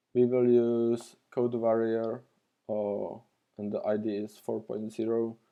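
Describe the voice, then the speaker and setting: A man speaks very slowly at a medium pitch with a non-native accent, his intonation flat and monotone. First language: not English. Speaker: retro computer hobbyist and tutorial maker. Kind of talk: tutorial. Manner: halting, many fillers.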